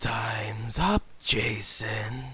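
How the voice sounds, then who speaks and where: A croaky, raspy put-on character voice, low in pitch, with music in the background. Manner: menacing, devilish.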